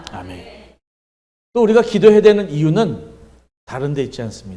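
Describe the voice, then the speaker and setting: A man's dark, mellow voice with vocal fry at a moderate pace, plus audible room echo. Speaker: pastor. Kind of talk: sermon. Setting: church revival meeting.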